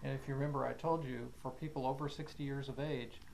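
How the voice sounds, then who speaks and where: A man's somewhat breathy voice, medium in pitch, with monotone, flat intonation. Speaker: doctor. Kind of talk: patient testimonial interview.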